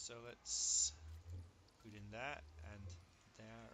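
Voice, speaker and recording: This man's voice carries vocal fry and a bright, sharp tone, with ordinary pitch variation. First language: Danish. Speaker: gaming YouTuber. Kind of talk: let's play commentary. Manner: animated.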